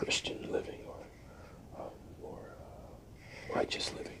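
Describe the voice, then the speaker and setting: Someone is whispering in a relaxed tone over noticeable background noise. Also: man. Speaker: ASMR content creator. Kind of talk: ASMR album review, whispered. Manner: whispered, relaxed, hesitant with frequent filler words.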